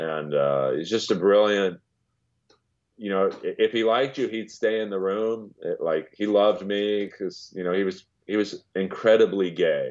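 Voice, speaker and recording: A man with an American accent speaks at a moderate pace in a fairly low pitch, with ordinary pitch variation and a normal speaking voice. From US West Coast, Los Angeles. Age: 50s. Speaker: comedian and voiceover actor. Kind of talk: casual chat.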